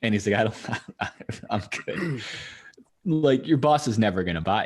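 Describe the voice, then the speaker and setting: At a moderate pace, a man with a medium pitch talks with very wide pitch swings. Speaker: podcast host. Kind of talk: casual podcast conversation.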